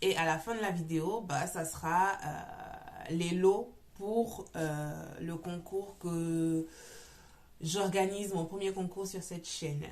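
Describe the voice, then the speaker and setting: Heard over noticeable background noise and audible room echo, a woman speaks at a medium pitch. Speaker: knitting podcaster. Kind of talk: casual chat. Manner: loud; hesitant, many fillers.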